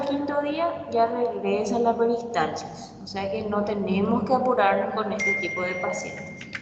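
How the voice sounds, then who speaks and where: In a very slow pace, a woman with fairly high pitch speaks amid noticeable background noise and audible room echo. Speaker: physician teaching a university class. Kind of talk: lecture. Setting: virtual class.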